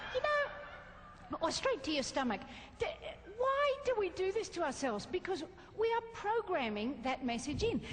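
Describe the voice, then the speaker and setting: A woman speaks at a fairly slow pace with an Australian accent, her pitch extremely high and swinging very widely. Her loudness stays very even, and there is noticeable background noise. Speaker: motivational speaker. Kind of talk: keynote talk to a live audience. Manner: lively, entertaining.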